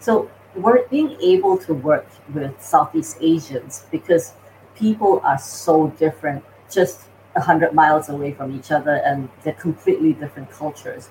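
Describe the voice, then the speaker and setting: A woman with a very deep, low pitch speaks at a moderate pace with lively intonation and big swings in loudness. Noticeable background noise can be heard. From Singapore. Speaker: AI company founder and CEO. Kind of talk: interview.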